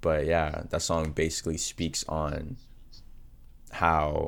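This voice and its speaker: A man is talking. His voice sits very deep and low in pitch. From Texas, Arlington. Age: 20s. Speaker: rapper. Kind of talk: interview.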